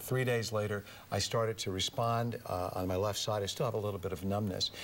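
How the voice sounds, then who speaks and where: The man's delivery is very fast. His intonation remains fairly even. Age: 60s. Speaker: former press secretary, singer and lecturer. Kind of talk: radio interview.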